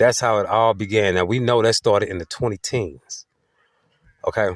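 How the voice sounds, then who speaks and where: A man at a moderate pace, in a dry, close sound with no echo. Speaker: self-described prophet sharing visions. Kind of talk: monologue to followers.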